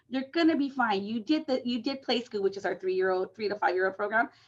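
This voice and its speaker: Her pitch fairly high, a woman talks with lively intonation. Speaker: conference presenter on senior services. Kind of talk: conference presentation over video call. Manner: fast; many filler words and repetitions.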